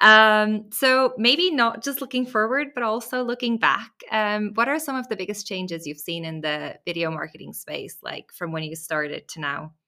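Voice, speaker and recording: Hardly pausing, a woman with a non-native accent speaks at a moderate pace in a fairly high voice with very wide pitch swings. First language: not English. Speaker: podcast host, brand manager. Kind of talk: casual interview chat.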